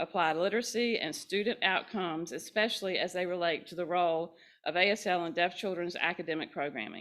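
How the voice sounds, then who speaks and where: A woman's fairly low voice with ordinary pitch variation, at a fairly quick pace. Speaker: event host introducing speakers. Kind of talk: formal introduction of speakers. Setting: in-person event, live-streamed. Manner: fast.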